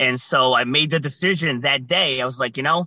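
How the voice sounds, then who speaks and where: With an American accent, a man speaks at a fairly quick pace in a bright, sharp tone with ordinary pitch variation, the sound dry and close with no echo. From Rhode Island, US. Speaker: guest, resilience speaker.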